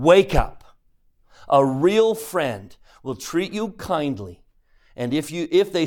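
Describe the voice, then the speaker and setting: A man speaks in an animated tone in a very clean recording with a silent background. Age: 50s. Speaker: religion teacher. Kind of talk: lecture.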